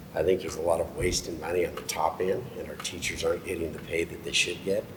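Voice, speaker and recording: A man rushes along at a very fast pace while noticeable background noise continues. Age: 60s. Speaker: political candidate. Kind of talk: candidate forum debate. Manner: halting.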